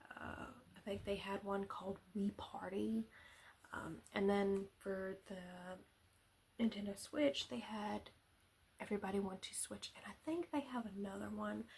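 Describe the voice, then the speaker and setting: A soft-spoken woman at a fairly slow pace, with ordinary pitch variation. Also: medium pitch for a woman. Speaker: ASMR content creator. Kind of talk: casual talk to camera. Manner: soft-spoken, rambling.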